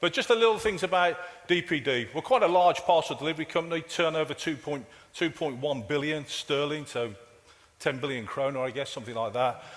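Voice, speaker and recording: A man talks fairly quickly in a fairly high voice, his intonation lively, as noticeable background noise carries on behind him. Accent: Brummie. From England, Birmingham. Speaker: IT director and keynote speaker. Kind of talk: conference keynote. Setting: conference stage with audience. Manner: casual, halting with fillers and repetitions.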